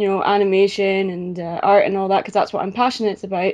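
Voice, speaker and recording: A woman speaks with a Scottish accent at a medium pitch. The background is quiet. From Scotland. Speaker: YouTube reviewer and artist. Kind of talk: casual interview. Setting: video call. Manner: hesitant, many fillers.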